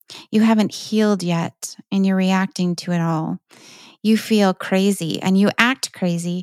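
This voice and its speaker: Recorded very cleanly against a silent background, a woman speaks fairly slowly at medium pitch with fairly even intonation and a dry, close sound with no echo. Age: 50s. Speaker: podcast host. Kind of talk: casual monologue. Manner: halting.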